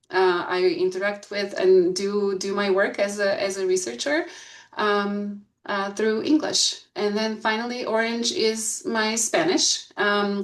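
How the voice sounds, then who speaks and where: A woman speaks at a medium pitch with a Bulgarian accent and ordinary pitch variation. Her pace is fairly slow, and there is audible room echo. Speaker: school board candidate, researcher. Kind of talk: candidate presentation. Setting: video call. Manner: hesitant, many fillers.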